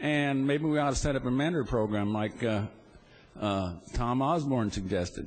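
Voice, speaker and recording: A man talks at medium pitch with ordinary pitch variation. His pace is fairly quick. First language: not English. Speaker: state senator. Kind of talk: legislative floor debate. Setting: legislative chamber.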